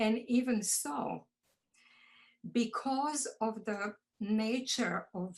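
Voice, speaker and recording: In a Croatian accent, the speaker sounds somewhat breathy, with ordinary pitch variation. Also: woman. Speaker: poet, audience member asking questions. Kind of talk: casual discussion.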